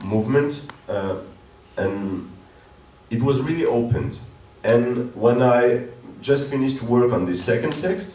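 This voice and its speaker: A man with a French accent speaks at a fairly slow pace and medium pitch, with ordinary pitch variation and long, frequent pauses. Noticeable background noise and audible room echo surround him. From northern France. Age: 30s. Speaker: theater director. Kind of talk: interview on stage. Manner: halting, many fillers.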